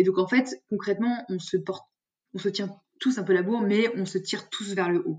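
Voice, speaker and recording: A somewhat breathy woman's voice at a medium pitch, moderate pace and ordinary pitch variation. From France, Lyon region. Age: 20s. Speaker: sales development representative. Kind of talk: interview. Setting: remote recording.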